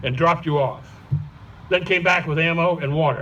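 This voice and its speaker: With an American accent, the speaker talks at a moderate pace with fairly even intonation. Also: man. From Boston. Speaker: Vietnam War veteran. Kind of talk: memorial speech.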